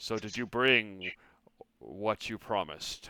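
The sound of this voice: In a booming, put-on character voice, a man speaks at a fairly slow pace with a fairly low pitch.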